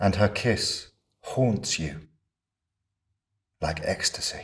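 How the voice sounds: Doing a put-on character voice, a man speaks at a low pitch and very slow pace, with a fairly bright tone and lively intonation.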